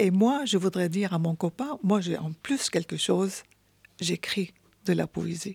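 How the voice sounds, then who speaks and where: A woman speaks with an Arabic accent at a fairly slow pace, somewhat breathy and with ordinary pitch variation. The sound is dry and close, with no echo. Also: medium pitch for a woman. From Syria. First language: Arabic (speaking French). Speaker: poet. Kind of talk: interview. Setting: radio studio.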